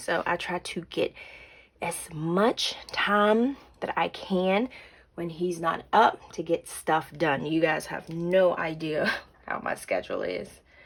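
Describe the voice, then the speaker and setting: A woman whispers in a put-on character voice that is raspy. She goes at a fairly slow pace. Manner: whispering.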